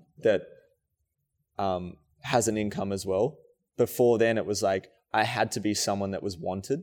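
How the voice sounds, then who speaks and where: On a very clean recording with a silent background, a man with an Australian accent speaks at a moderate pace and fairly low pitch. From rural New South Wales, Australia. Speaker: dancer and choreographer. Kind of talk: casual interview chat.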